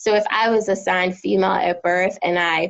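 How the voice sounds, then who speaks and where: In an American accent, a woman speaks at a moderate pace with medium pitch and ordinary pitch variation, an unremarkable speaking voice. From New Jersey and Philadelphia. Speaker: therapist. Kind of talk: casual interview.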